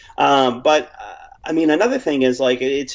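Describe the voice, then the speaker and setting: A man with an American accent speaks at a fairly high pitch with ordinary pitch variation, and there is noticeable background noise. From Texas, Dallas area. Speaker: documentary filmmaker. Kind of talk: casual interview. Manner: halting, many repeated words.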